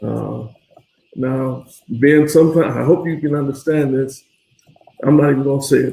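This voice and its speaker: A man talks at a moderate pace with long, frequent pauses. His voice is fairly high in pitch, with fairly even intonation. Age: 60s. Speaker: father of the host. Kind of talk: casual interview. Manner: soft-spoken.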